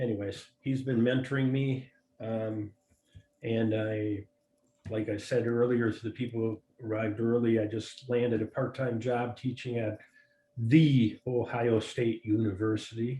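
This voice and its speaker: With a Wisconsin accent, a man talks at a fairly slow pace in a dark, mellow, somewhat breathy tone, his medium pitch held monotone and flat. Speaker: FileMaker developer and newbie user group attendee. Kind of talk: casual video meeting introduction. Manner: halting, many fillers.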